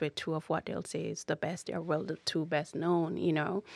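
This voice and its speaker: A woman's fairly low, monotone, flat voice with vocal fry, at a moderate pace, in a dry, close sound with no echo and a quiet background. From Jamaica. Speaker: mental health client sharing her story. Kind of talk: interview testimony.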